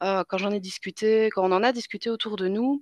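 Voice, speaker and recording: A woman talks at a moderate pace with fairly even intonation. The sound is dry and close, with no echo. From Belgium. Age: 20s. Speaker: mother telling birth stories. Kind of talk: interview. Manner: halting, many fillers.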